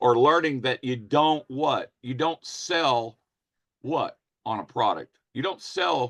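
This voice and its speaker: At a fairly slow pace, a man with a fairly high pitch and ordinary pitch variation talks in a dry, close sound with no echo. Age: 60s. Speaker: network marketing presenter. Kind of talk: sales pitch. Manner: animated.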